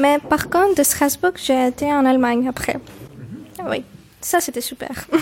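A woman's high-pitched voice, ordinary pitch variation, fairly slow pace, noticeable background noise. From Cyprus, Limassol. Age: 20s. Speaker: university student and French teacher. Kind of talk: interview. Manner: halting.

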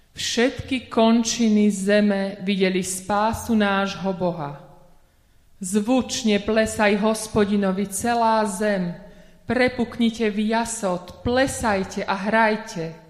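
The woman talks very slowly at a fairly high pitch. Her intonation stays fairly even and her loudness very even. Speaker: lay scripture reader. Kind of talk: reading aloud. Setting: church.

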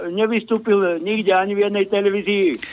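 Here a man talks in a high-pitched voice. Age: old. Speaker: caller. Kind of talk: casual chat.

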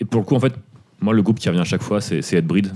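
A man talks at a very fast pace with a fairly low pitch and ordinary pitch variation. His tone is dark and mellow. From Paris suburbs, France. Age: 30s. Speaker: punk/hardcore podcast co-host. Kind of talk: casual chat.

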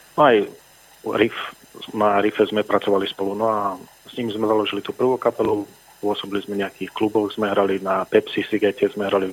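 A man talks at a fairly quick pace with a fairly low pitch. His intonation is monotone and flat, and background noise is noticeable. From southern Slovakia, Filakovo/Lučenec area. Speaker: rock musician. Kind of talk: radio interview. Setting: phone call.

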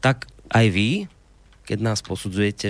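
Here is a normal speaking voice from a man with a fairly low pitch. The recording is very clean, with a silent background. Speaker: radio host. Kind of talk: radio talk show interview. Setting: studio.

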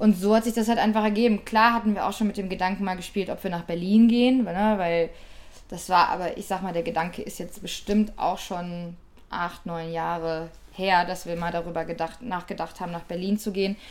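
Fairly quick delivery in an unremarkable speaking voice. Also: woman, medium pitch for a woman, fairly even intonation. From Ruhr area, Germany. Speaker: DJ, producer and record label owner. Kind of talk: interview.

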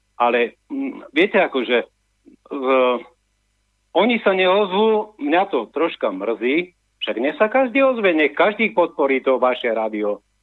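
A man speaks at a fairly slow pace with a high pitch. His voice swings very widely up and down. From Slovakia, Orava (Námestovo). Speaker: radio caller. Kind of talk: phone-in chat. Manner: halting.

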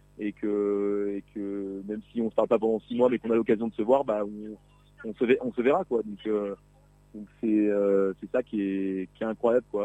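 A man talks at a moderate pace in a fairly low, dark, mellow voice. His intonation is monotone and flat. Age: 30s. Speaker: Tour de France caravan member. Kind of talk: radio interview. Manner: halting, many hesitations.

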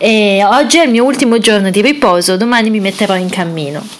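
A woman talks with a fairly high pitch. Noticeable background noise is present. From Italy. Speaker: pilgrim travel podcaster. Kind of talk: audio travel diary. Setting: resting at a convent-run villa.

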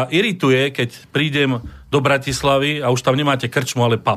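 A man with a normal speaking voice talks at a moderate pace and a fairly high pitch. His intonation is fairly even, and his loudness stays very even. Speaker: historian and museum director. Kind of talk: radio discussion.

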